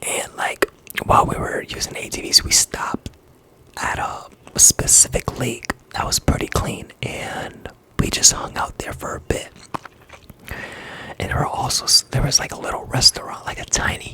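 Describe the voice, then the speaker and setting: A whisper moves along at a moderate pace. Background noise is noticeable throughout. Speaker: ASMR artist. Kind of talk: ASMR whispered talk to camera. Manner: whispered; casual, chatty.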